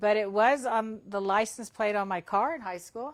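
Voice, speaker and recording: A woman speaks with a Texan accent in a fairly high pitch at a moderate pace. Her intonation is fairly even, on a very clean recording with a silent background. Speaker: school superintendent. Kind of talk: casual interview. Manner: loud.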